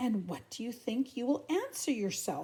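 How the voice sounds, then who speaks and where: A woman speaks in a put-on character voice with a high pitch. Her pace is moderate. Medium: read story. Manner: slow, gentle.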